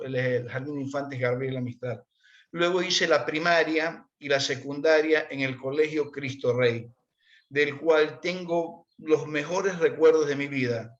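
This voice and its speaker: At a moderate pace, a man speaks in a plain, everyday voice with fairly high pitch and fairly even intonation. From Ecuador, Portoviejo (Manabí coast). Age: 60s. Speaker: interviewee sharing life story. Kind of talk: conversational interview.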